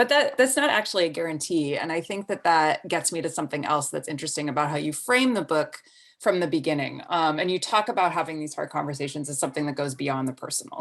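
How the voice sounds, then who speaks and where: Talking very fast in a very deep, low voice, a woman uses ordinary pitch variation over a quiet background. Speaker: audio producer and editor. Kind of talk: interview questions.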